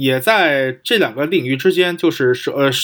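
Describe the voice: A man's medium-pitched, fairly bright voice at a moderate pace, with ordinary pitch variation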